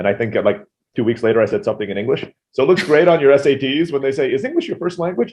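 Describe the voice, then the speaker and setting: Speaking at a very fast pace with an American accent, the voice moves through very wide pitch swings. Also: man, fairly high pitch for a man. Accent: sounds American. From Turkey (Istanbul), international school. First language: Turkish (also Tagalog early). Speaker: entrepreneur. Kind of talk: podcast interview.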